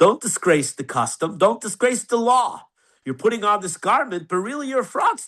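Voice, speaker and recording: Talking at a fairly quick pace, a man uses a high pitch, very wide pitch swings and a bright, sharp tone. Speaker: rabbi teaching a class. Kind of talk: online class lecture. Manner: animated.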